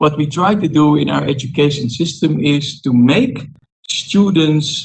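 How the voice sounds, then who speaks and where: The speaker has a Dutch accent and vocal fry, with ordinary pitch variation. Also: man. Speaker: diplomat. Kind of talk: panel discussion.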